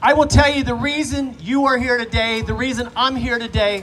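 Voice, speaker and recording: Amid noticeable background noise, a man with an extremely high pitch talks at a moderate pace with ordinary pitch variation. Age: 60s. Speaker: politician. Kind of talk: speech at a rally. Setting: outdoors park event with audience.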